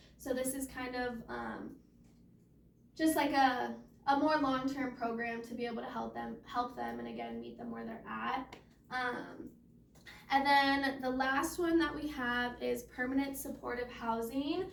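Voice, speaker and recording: Audible room echo surrounds a woman speaking at a fairly slow pace, her loudness swinging a lot. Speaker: case manager. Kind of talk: presentation.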